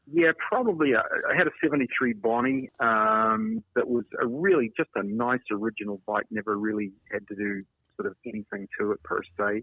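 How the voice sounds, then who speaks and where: Ordinary pitch variation marks this man's speech. He has a New Zealand accent. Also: medium pitch for a man, moderate pace. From New Zealand, Invercargill. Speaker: former automotive mechanic, motorcycle collector. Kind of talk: casual interview chat. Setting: podcast.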